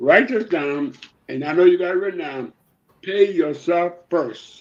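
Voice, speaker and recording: A man speaks at a fairly slow pace, his pitch swinging very widely. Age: 80s+. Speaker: retired educator and civil rights activist. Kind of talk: interview. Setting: live stream.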